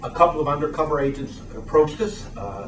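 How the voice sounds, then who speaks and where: Amid noticeable background noise and audible room echo, a man with a fairly high voice talks at a fairly quick pace with ordinary pitch variation. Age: 60s. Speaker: attorney and activist. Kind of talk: press conference statement. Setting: press conference.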